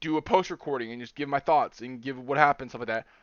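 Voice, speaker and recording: In a normal speaking voice, a man talks at a fairly high pitch for a man with ordinary pitch variation. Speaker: competitive game drafting league player. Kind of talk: casual podcast-style commentary.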